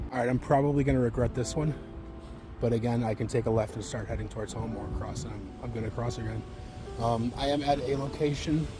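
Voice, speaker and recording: A man at a very fast pace, medium pitch and ordinary pitch variation, with music in the background. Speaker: vlogger documenting weight loss. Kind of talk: casual vlog while walking. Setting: outdoors on a walk.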